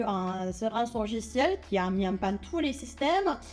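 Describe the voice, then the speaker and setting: A woman with a non-native accent speaks at a moderate pace in a fairly high voice with lively intonation. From Netherlands. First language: not French (speaking French). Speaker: cybersecurity researcher and lecturer. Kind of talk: popular science talk. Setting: stage with audience. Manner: hesitant, many fillers.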